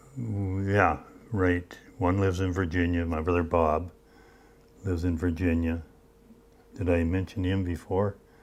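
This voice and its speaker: Speaking with a Minnesota accent, a man has a very deep, low pitch and fairly even intonation. He goes at a fairly slow pace with long, frequent pauses. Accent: Upper Midwest Minnesota. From northern Minnesota, Iron Range. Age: 80s+. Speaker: retired mine machinist. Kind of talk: oral history interview. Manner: halting.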